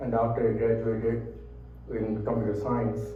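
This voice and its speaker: This man talks at a moderate pace with a fairly low pitch. Audible room echo and noticeable background noise come through. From India. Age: 70s. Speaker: speaker on Indian cuisine. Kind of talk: talk to an audience. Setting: room with audience, microphone. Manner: conversational.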